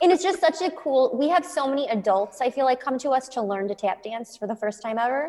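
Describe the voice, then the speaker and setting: With hardly any pauses, a woman speaks in a high pitch with lively intonation. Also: fairly quick pace. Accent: American. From US Midwest, Chicago. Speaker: dance studio owner and teacher. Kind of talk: casual interview.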